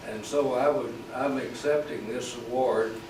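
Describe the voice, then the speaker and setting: A man's medium-pitched voice in a Southern US accent, with audible room echo and noticeable background noise. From US South, Arkansas and East Texas. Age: 80s+. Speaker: oil businessman, award recipient. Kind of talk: acceptance speech. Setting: awards dinner with audience.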